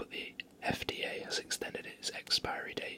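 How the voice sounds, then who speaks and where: The speaker is whispering in a relaxed tone. Noticeable background noise is present. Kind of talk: whispered ASMR fun-facts reading. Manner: whispered, relaxed.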